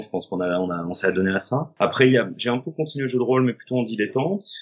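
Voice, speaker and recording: A man talks with ordinary pitch variation. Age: 30s. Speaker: board game illustrator. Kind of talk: casual interview. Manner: halting, many fillers.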